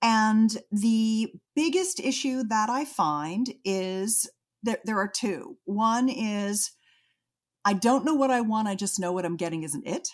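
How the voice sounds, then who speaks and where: The woman's voice is fairly high and somewhat breathy, with lively intonation. She speaks at a very slow pace. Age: 60s. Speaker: intimacy adviser. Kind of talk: interview. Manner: animated.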